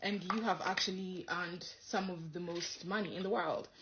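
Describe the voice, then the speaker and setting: Noticeable background noise fills the clip. Over it, this woman keeps a moderate pace. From Kenya, Nairobi. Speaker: comedian and content creator. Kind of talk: casual storytelling interview answer.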